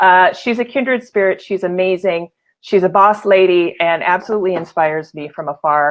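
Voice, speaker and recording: In an unremarkable speaking voice, a woman delivers her words at a moderate pace. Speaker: livestream show host. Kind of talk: casual live show talk.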